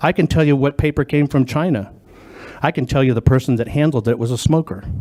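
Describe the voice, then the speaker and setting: Speaking with an American accent, the man has a fairly high pitch and a dark, mellow tone. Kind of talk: testimony at legislative hearing. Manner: loud; emphatic, repetitive.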